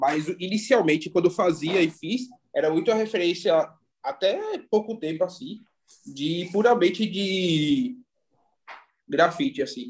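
A high-pitched man's voice with lively intonation and long, frequent pauses. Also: fairly slow pace. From Recife, Pernambuco, Brazil. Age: 30s. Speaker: visual artist. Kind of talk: casual interview chat.

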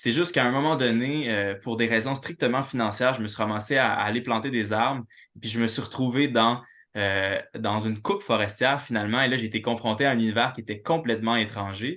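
The tone is bright and sharp, with ordinary pitch variation, a fairly quick pace and a quiet background. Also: man, medium pitch for a man. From Quebec City. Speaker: writer and literature professor. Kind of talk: academic talk.

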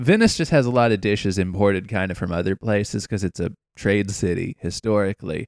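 In an unremarkable speaking voice with an American accent, a man talks at a fairly quick pace and fairly low pitch with ordinary pitch variation, on a very clean, silent recording with a dry, close sound and no echo. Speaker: travel podcast co-host. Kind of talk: casual chat.

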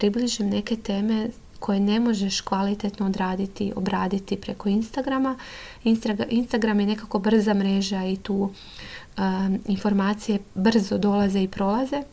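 A somewhat breathy, dark, mellow tone with fairly even intonation. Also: woman. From Croatia, Lošinj island. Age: 30s. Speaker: psychotherapist. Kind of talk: podcast monologue.

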